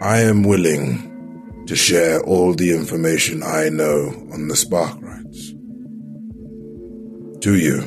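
A put-on character voice from a man, very deep and low in pitch, at a fairly slow pace with long, frequent pauses, over clear background music. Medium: actual play. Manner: direct, businesslike.

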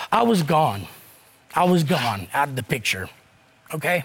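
With a Southern US accent and lively intonation, a man speaks against noticeable background noise. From US South. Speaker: court show defendant. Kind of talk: heated debate.

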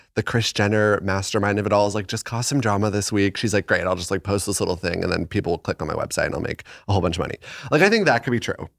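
Music plays behind a man speaking at a very fast pace with an American accent. His pitch is fairly low with ordinary variation, and the sound is dry and close with no echo. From Arizona. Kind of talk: casual chat. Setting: home studio.

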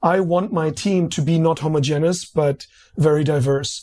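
A man with a German accent speaks at a moderate pace with a fairly high pitch and fairly even intonation. His tone is dark and mellow, in a very clean recording with a silent background. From East Berlin, Germany. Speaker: marketing executive. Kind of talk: interview.

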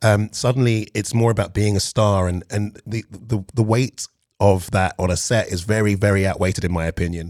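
Fairly even intonation and a fairly quick pace mark this speech in a London accent. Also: man, fairly low pitch for a man, dry, close sound with no echo. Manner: calm.

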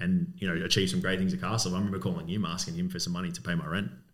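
With audible room echo around him, a man with an Australian accent talks at a very fast pace. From Melbourne, Australia (Coburg). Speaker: business owner. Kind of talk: casual interview.

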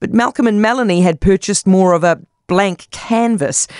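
Speaking with a New Zealand accent, a woman uses a medium pitch. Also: dry, close sound with no echo. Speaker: radio host. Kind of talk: scripted narration.

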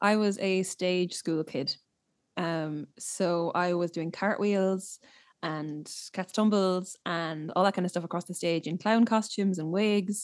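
A woman with a Limerick accent, medium in pitch and fairly even in intonation, at a fairly slow pace against a quiet background. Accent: Irish (Limerick). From Limerick, Ireland. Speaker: singer-songwriter. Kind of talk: casual interview chat.

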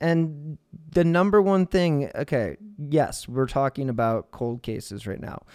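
A man's normal speaking voice, fairly high in pitch, with lively intonation at a fairly slow pace, in a dry, close sound with no echo and a very clean recording with a silent background. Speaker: true crime podcast host. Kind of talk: podcast interview. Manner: casual, rambling.

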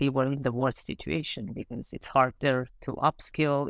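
A woman with an Armenian accent talks at a moderate pace. Her pitch is very deep and low. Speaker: startup founder. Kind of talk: casual interview.

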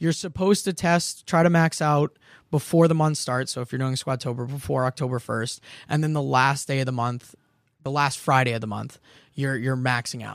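In a very clean recording with a silent background, a man speaks at a moderate pace and medium pitch with ordinary pitch variation, in an ordinary speaking voice. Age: 20s. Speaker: personal trainer. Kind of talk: casual chat.

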